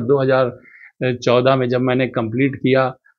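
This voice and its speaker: A plain, everyday voice from a man at medium pitch. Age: 60s. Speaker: doctor and marathon runner. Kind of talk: interview.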